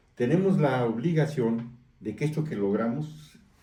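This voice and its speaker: This voice is dark, mellow and somewhat breathy, with very wide pitch swings. Room echo is audible. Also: man. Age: 60s. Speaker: newspaper editor and political activist. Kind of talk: interview.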